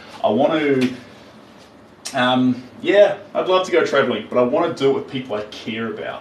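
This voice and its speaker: With a New Zealand accent, a man speaks in an animated tone and lively intonation, amid noticeable background noise and audible room echo. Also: fairly high pitch for a man, moderate pace. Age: 30s. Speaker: artist. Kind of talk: live stream chat while painting. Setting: live stream.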